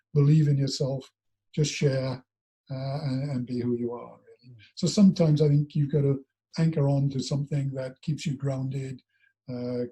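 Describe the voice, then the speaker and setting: Speaking with a Welsh accent, a man with a fairly high pitch and a dark, mellow tone sounds somewhat breathy, keeping fairly even intonation amid big swings in loudness. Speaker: former national rugby coach and coach developer. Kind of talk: casual interview chat. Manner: halting.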